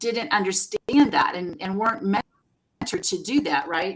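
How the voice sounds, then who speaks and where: A woman's plain, everyday voice, fairly slow in pace, with lively intonation and a dry, close sound with no echo. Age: 60s. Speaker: career coach. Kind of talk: interview.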